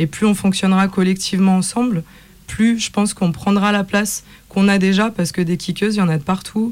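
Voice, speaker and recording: Here is a woman with a plain, everyday voice at medium pitch and a fairly quick pace. Her intonation is fairly even and her loudness very even. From Lyon, France. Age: young. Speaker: MC and singer. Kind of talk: radio panel discussion.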